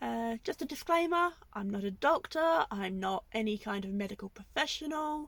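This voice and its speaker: A woman talks with a British accent. Her pace is fairly slow and her pitch swings very widely. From England. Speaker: vlogger, van lifer. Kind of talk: casual vlog to camera. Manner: hesitant, many fillers.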